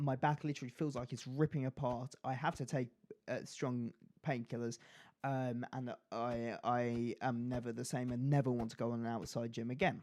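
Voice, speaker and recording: Medium pitch from a man, monotone with flat intonation. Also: moderate pace, very clean recording, silent background. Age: young. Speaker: gaming YouTuber. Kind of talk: casual chat over gameplay. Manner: stutters, halting.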